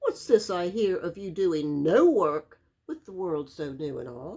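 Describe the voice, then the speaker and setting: A woman puts on a character voice at a medium pitch. She speaks at a fairly slow pace. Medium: read story.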